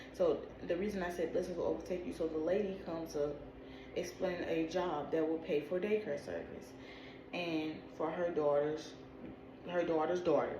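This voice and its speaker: A woman's fairly low pitch and fairly even intonation, with long, frequent pauses, audible room echo and noticeable background noise. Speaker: video creator interpreting dreams. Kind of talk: casual spiritual monologue to camera. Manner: fast.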